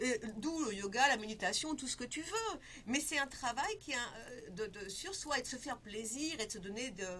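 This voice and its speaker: Against noticeable background noise, a woman speaks high in pitch with lively intonation. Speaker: feng shui consultant and life coach. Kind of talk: interview. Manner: fast.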